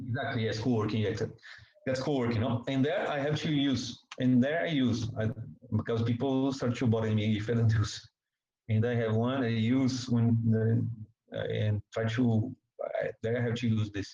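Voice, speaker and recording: A man with a Portuguese accent speaks at a medium pitch and a moderate pace, his dark, mellow tone somewhat breathy and his intonation monotone and flat. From Brazil. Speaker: journalist. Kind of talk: interview. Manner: halting.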